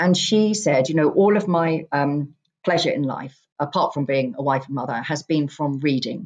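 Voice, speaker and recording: Over a quiet background, a woman with an English accent and a very deep, low pitch speaks at a moderate pace with ordinary pitch variation. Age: 50s. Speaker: author. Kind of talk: casual chat.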